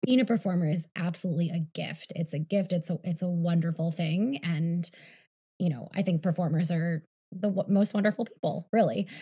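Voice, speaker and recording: A woman speaks at a fairly quick pace in a fairly low, somewhat breathy voice with a dark, mellow tone and ordinary pitch variation. The recording is very clean, with a silent background. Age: 30s. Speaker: health coach and former dancer. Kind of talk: interview.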